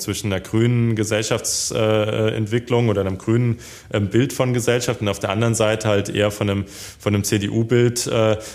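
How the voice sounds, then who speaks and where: A man with a fairly low pitch talks at a fairly quick pace with fairly even intonation. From Hesse, Germany (Darmstadt). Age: 20s. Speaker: politician. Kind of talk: interview. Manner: hesitant, many fillers.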